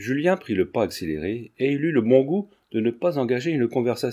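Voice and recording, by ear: A natural voice reads the text aloud. Its intonation rises and falls in a lively way.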